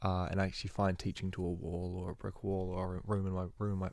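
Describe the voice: A man's low-pitched voice with vocal fry and a slightly mellow tone, at a fairly quick pace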